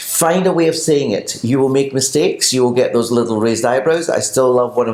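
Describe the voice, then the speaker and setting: Over noticeable background noise, someone speaks at a fairly quick pace in a Scottish accent. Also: man. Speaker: pilates teacher. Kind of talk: casual chat.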